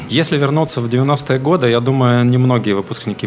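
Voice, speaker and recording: A man speaks over noticeable background noise. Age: 40s. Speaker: HR director. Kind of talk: interview. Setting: studio. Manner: formal.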